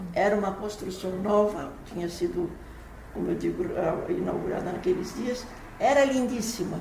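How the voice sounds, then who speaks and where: A woman with lively intonation at a moderate pace, amid noticeable background noise and audible room echo. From Brazil, São Paulo. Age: 80s+. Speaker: writer and playwright. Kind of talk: interview. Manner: halting, frequent repetitions.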